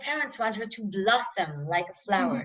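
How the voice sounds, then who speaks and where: Speaking at a medium pitch and moderate pace, a woman uses lively intonation in an Israeli accent. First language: Hebrew. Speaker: novelist. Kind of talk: interview. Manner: halting.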